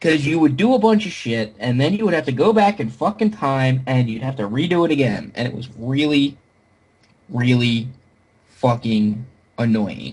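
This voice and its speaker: Somewhat breathy and at a medium pitch, a man talks at a moderate pace with very wide pitch swings. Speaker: podcast host. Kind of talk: casual chat. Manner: halting, stammering repeats.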